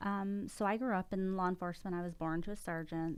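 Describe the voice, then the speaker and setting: A woman with an American accent and an unremarkable speaking voice, fairly even intonation at a fairly quick pace. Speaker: retired police officer. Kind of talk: podcast interview. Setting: studio.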